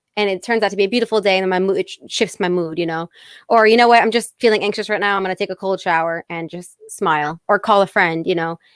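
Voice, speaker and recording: At a very fast pace, a woman with an American accent talks at a medium pitch with fairly even intonation. The recording is very clean and dry, close-sounding with no echo and a silent background. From Fairfield County, Connecticut. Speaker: singer-songwriter. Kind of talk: interview.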